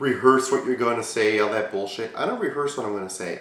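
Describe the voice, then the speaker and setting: This man talks in an animated tone. Noticeable background noise and audible room echo are present. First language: not English. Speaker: YouTube Q&A show host. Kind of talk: casual vlog Q&A.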